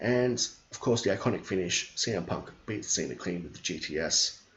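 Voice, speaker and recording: Somewhat breathy, a man with an Australian accent speaks with lively intonation. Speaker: wrestling streamer. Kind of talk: casual chat. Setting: live stream. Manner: fast; animated.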